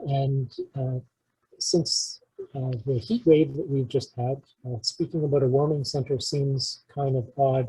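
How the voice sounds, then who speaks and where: A man with a Canadian accent speaks quietly at a very slow pace. His voice is somewhat breathy, fairly high in pitch, with a dark, mellow tone. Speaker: community emergency preparedness presenter. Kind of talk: community presentation. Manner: hesitant, many fillers (uh); quiet, volume drifts. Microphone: too quiet.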